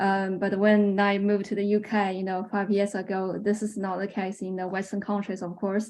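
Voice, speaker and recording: Spoken with a Chinese accent at a moderate pace, the monotone, flat delivery has hardly any pauses against a quiet background. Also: woman, medium pitch for a woman. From China. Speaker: researcher. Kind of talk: webinar Q&A. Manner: halting, many fillers.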